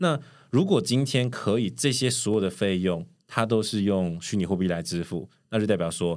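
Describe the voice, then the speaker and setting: On a very clean recording with a silent background, the speech has lively intonation and moves at a moderate pace. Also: man. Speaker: cloud solutions architect. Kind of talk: casual interview chat.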